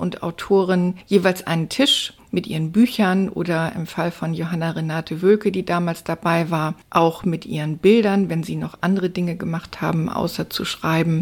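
Recorded very cleanly against a silent background, a woman with an ordinary speaking voice talks at a moderate pace and a fairly low pitch, her intonation fairly even. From northern Germany, Stade near Hamburg. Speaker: journalist and poet. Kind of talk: interview. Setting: studio.

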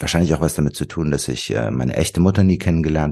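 Vocal fry runs through a man's very deep, low voice with a dark, mellow tone. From Wuppertal, western Germany. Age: 40s. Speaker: author and marketing strategist. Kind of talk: interview.

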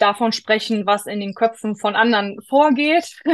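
A woman speaks at a fairly slow pace in a plain, everyday voice, fairly high in pitch with ordinary pitch variation. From Rhineland, western Germany. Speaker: pilgrim with ADHD. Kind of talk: interview.

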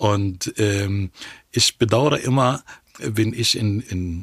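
In an Arabic accent, a man speaks with a fairly low pitch in a dry, close sound with no echo. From Egypt, Cairo. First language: Arabic (speaking German). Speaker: historian and political scientist, professor. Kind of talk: interview conversation. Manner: halting, frequent hesitations.

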